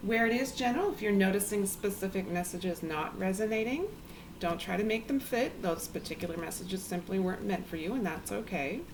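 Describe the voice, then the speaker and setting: Speaking quietly at a fairly quick pace, a woman uses a calm tone, a medium pitch and ordinary pitch variation. Audible room echo and noticeable background noise fill the recording. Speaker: tarot reader. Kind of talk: tarot reading. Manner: quiet, low volume; calm, hesitant with filler ums.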